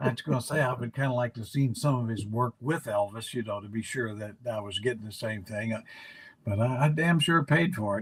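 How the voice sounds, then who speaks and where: The man's voice is somewhat breathy, at a medium pitch. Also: ordinary pitch variation, fairly quick pace. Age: 80s+. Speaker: basketball analyst, former team executive. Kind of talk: casual chat. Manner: halting, many fillers.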